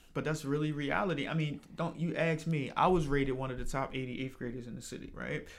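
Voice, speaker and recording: Rushing at a very fast pace with hardly any pauses, a man speaks in a fairly high pitch with fairly even intonation. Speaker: podcast host. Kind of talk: casual interview.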